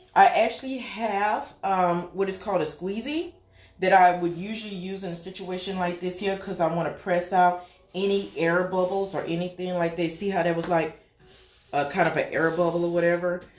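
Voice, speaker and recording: A woman speaks at a moderate pace with fairly even intonation, and noticeable background noise can be heard. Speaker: small business owner, craft maker. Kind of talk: tutorial. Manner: casual, chatty.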